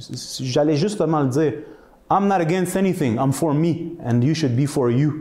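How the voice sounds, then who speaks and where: A man with a Quebec accent at a fairly slow pace. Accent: Québécois French. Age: 40s. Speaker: wellness speaker; speaker. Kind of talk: talk to an audience. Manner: animated. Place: hall. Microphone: camera far.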